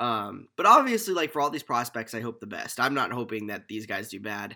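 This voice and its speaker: In a very clean recording with a silent background, a man speaks fairly quickly in a bright, sharp, medium-pitched voice with ordinary pitch variation. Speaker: sports podcast host, college student. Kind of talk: solo sports analysis podcast. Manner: casual, filler-heavy.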